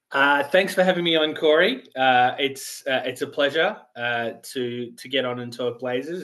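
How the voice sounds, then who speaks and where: Here a man speaks with an Australian accent. His pitch is medium and his pace moderate. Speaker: sports writer. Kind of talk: podcast interview. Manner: hesitant, many fillers.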